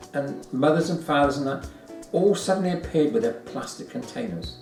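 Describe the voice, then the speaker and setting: A man with an English accent speaks at a moderate pace and a fairly high pitch, his intonation lively, with audible room echo and music in the background. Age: 60s. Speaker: vlogger. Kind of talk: casual chat. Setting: at a friend's home over brunch.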